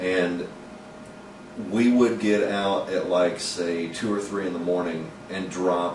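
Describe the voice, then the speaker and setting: Speaking at a fairly slow pace, a man with a fairly low pitch and ordinary pitch variation is heard through audible room echo and noticeable background noise. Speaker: vlogger and comedy columnist. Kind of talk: personal video diary. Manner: stumbling over words, halting; usually slow and deliberate.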